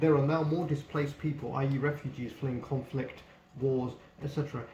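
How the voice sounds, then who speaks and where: A man's fairly high, monotone, flat voice in a British accent at a very fast pace, with audible room echo. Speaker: book reviewer. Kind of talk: casual book review.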